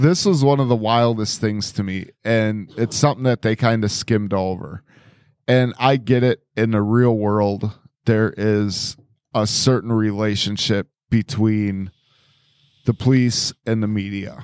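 A man's fairly low, an ordinary speaking voice at a fairly slow pace, with fairly even intonation, a dry, close sound with no echo, and a very clean recording with a silent background. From Wisconsin. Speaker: podcast co-host. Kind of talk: casual chat.

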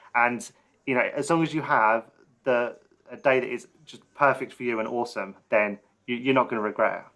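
Talking at a fairly quick pace, a man with a plain, everyday voice speaks at a medium pitch with big swings in loudness. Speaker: podcast host. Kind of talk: casual interview chat. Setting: video call.

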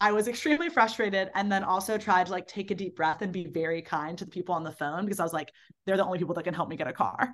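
A woman's bright, sharp voice at a medium pitch with an American accent, at a very fast pace against a quiet background. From Baltimore, US. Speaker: ultrarunner and summer camp director. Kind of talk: casual interview.

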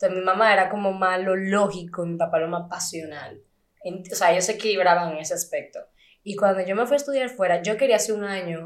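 The speaker has a plain, everyday voice and talks at a fairly quick pace. Pitch varies in an ordinary way. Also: woman. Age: 20s. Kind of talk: casual chat.

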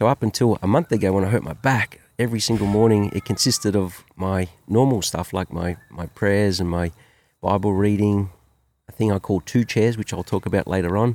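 A man speaks with an Australian accent at a fairly low pitch. His pitch varies in an ordinary way, and the sound is dry and close with no echo. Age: 50s. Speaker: business owner and father. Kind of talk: casual chat. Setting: outdoors by a campfire.

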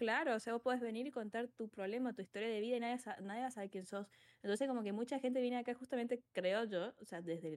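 A woman speaks. Her pace is very fast. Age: 20s. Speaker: psychologist and streamer. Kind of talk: casual interview.

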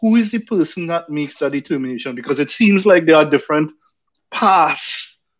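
With lively intonation, a man speaks in a Trinidadian accent. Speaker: podcast co-host. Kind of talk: casual chat and panel discussion.

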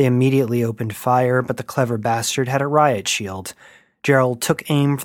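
A natural reading voice is used, with intonation that stays fairly even.

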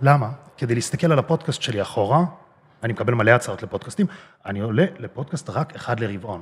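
A somewhat breathy male voice speaks with lively intonation. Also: medium pitch for a man, fairly quick pace. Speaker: bodybuilder and social media personality. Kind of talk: interview.

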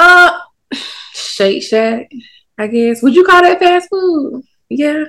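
A woman with an American accent uses a raised, projected voice, high in pitch and bright, sharp in tone. She speaks very slowly with very wide pitch swings and long, frequent pauses. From US South, Durham, North Carolina. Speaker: food content creator and social media coach. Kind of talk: casual chat.

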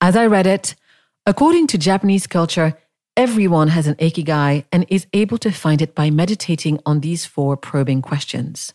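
Here a woman speaks with ordinary pitch variation. The sound is dry and close with no echo, in a very clean recording with a silent background. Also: moderate pace, very even loudness. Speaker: podcast host. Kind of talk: solo reading of own blog post.

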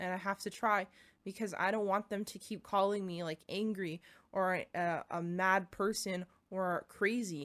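At a fairly slow pace, a woman speaks at a medium pitch in a monotone, flat way. The recording is very clean, with a silent background. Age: 20s. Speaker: podcast host. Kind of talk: casual monologue. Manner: halting.

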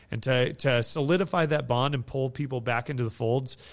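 This man has a plain, everyday voice, talking at a moderate pace with ordinary pitch variation. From Nevada, US. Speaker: military veteran and staffing agency CEO. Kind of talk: interview.

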